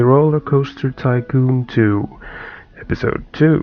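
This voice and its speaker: Noticeable background noise can be heard. The speaker's intonation remains fairly even. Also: man. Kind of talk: gameplay commentary. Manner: casual.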